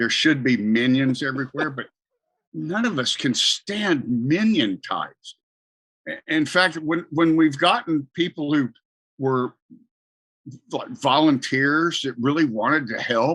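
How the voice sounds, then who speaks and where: A man speaks at a fairly slow pace with a fairly high pitch, lively intonation, and long, frequent pauses, in a dry, close recording with no echo. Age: 60s. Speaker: religious parody founder and radio broadcaster. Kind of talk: casual interview chat. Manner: halting, repeats words.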